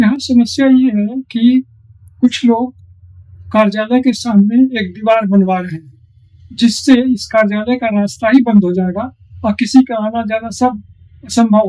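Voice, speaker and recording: With a dark, mellow tone, a man speaks at a high pitch using fairly even intonation. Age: 80s+. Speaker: retired official language officer. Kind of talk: interview.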